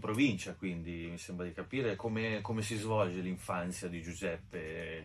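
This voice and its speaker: This man has a bright, sharp tone and ordinary pitch variation. He speaks at a fairly slow pace. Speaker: co-host. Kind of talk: casual chat.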